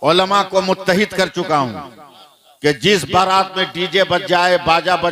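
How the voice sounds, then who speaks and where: A man is speaking. There is noticeable background noise. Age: 60s. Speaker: Islamic preacher. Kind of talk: religious speech to a gathering. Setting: mosque gathering with audience.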